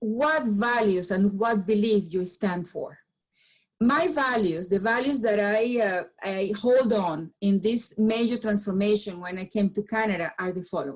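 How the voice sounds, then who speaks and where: Somewhat breathy and medium in pitch, a woman with a Venezuelan accent talks at a fairly slow pace. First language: Spanish. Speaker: business founder and change management speaker. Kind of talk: presentation talk. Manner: halting with frequent repetitions.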